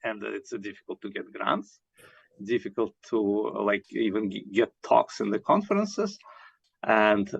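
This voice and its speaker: Heard with a dry, close sound and no echo, a man speaks at a moderate pace with big swings in loudness. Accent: Russian. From Russia. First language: Russian. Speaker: scientist. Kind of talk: interview. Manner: halting, many fillers.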